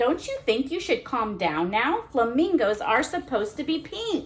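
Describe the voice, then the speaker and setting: A woman puts on a character voice pitched high. Her pitch swings very widely. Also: moderate pace. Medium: read story. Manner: squawking, insistent.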